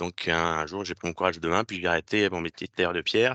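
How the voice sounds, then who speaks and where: A man speaks in a very deep, low pitch with a bright, sharp tone and fairly even intonation. The sound is dry and close with no echo, over a quiet background. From France. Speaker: physiotherapy technician, former student. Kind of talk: presentation to students. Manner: hesitant, many fillers.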